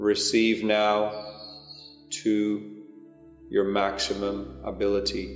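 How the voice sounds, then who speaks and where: With music in the background, a man talks at a very slow pace in a gentle tone, his fairly low pitch showing ordinary variation between long, frequent pauses. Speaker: meditation guide, spiritual channel. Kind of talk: guided meditation. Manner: slow, gentle, calming.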